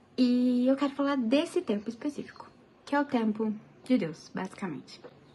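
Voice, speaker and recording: Soft-spoken and moving at a moderate pace, the voice carries lively intonation. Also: woman, high pitch for a woman. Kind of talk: casual devotional talk to camera.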